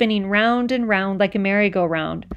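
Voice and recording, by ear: A natural voice reads aloud, its pitch varying in an ordinary way.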